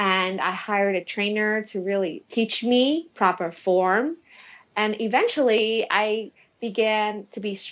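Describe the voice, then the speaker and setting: Fairly slow and fairly high-pitched, a woman talks with ordinary pitch variation in an unremarkable speaking voice. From Taiwan, moved to US at 8. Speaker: attorney and beauty pageant winner. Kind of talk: podcast interview. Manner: casual, with filler words.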